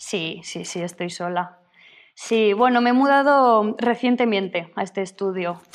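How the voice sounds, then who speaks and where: At a fairly slow pace, a woman with a normal speaking voice talks at a fairly high pitch with ordinary pitch variation. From Spain, Zaragoza. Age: 30s. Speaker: painter. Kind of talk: interview. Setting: remote call from her studio.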